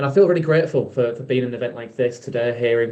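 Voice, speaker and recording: A man with a Yorkshire accent speaks at a medium pitch, his intonation fairly even. His tone is dark and mellow. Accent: Yorkshire (Hull) English. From Hull, Yorkshire, northern England. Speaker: event host. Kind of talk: event hosting between talks.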